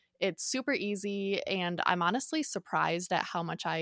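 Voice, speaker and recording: A woman speaks at a medium pitch and moderate pace, with ordinary pitch variation. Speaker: podcast co-host and artist. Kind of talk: casual chat. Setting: remote recording with headphones and mic. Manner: soft-spoken.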